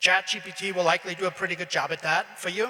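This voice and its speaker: A man with a German accent talks at a fairly quick pace and high pitch. Background noise is noticeable. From Austria. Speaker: graduation speaker. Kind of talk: commencement speech.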